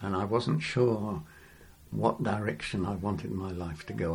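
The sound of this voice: A fairly low-pitched man with vocal fry and an English accent, at a fairly slow pace with ordinary pitch variation, in audible room echo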